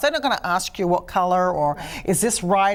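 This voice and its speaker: Someone speaks in an animated tone with an Australian accent. The pace stays moderate. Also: woman. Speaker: artist and studio owner. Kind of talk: interview.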